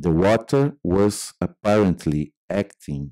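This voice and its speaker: A man with a Brazilian accent speaks at a very deep, low pitch in a dark, mellow tone with lively intonation. The sound is dry and close with no echo, on a very clean recording with a silent background. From Brazil, Minas Gerais. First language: Portuguese. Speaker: artist and filmmaker. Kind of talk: reading aloud. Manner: halting.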